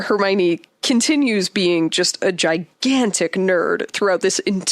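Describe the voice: The text is given as plain reading aloud. Nothing more is added to the delivery.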